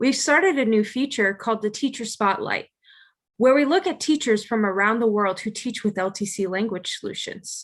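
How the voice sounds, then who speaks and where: Heard on a very clean recording with a silent background, a woman with an unremarkable speaking voice talks at a moderate pace in a fairly high pitch with lively intonation. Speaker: language program manager. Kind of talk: interview questions.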